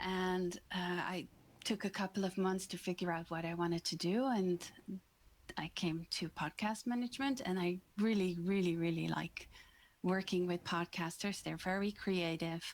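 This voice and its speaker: A woman with a Dutch accent speaks at a moderate pace and medium pitch, her intonation fairly even. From Netherlands, The Hague. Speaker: podcast manager. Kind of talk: interview.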